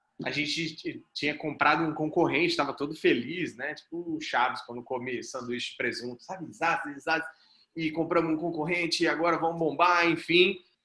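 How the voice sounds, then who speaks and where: A man's fairly high-pitched voice, bright and sharp in tone, with fairly even intonation. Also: moderate pace. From Brazil, Mato Grosso do Sul (Campo Grande). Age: 30s. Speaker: startup founder and CEO, mentor. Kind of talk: group mentoring talk, personal story. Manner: casual, conversational.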